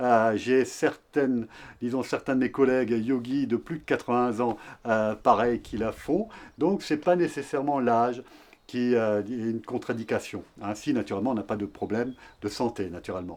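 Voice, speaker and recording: The man's pitch is medium, with ordinary pitch variation. He speaks at a moderate pace over a quiet background. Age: 60s. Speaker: yoga teacher. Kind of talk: tutorial. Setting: outdoors. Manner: hesitant, many fillers.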